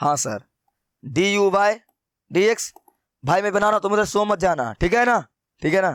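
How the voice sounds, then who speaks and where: On a very clean recording with a silent background, a man speaks in a high voice at a moderate pace with long, frequent pauses. His pitch varies in an ordinary way, his loudness is very even, and the sound is dry and close with no echo. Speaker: math teacher. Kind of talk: lecture. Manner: less loud than usual; conversational.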